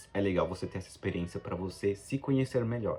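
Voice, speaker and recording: This man's fairly low voice is somewhat breathy and has ordinary pitch variation. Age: 20s. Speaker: travel vlogger. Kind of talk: casual vlog monologue. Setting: abroad in Japan.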